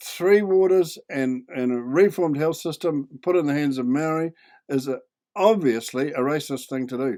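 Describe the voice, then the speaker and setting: Speaking at a moderate pace with a New Zealand accent, a man's fairly high, dark and mellow voice moves with ordinary pitch variation in a very clean recording with a silent background. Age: 80s+. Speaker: video commentator. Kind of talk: video commentary. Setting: home desk, recorded on computer.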